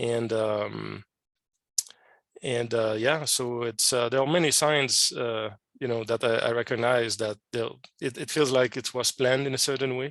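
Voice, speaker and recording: Fairly slow and fairly even in intonation, a man speaks at a medium pitch with a French Canadian accent. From Quebec, Canada. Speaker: scientist and amateur radio operator. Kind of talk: podcast interview. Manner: hesitant, many fillers.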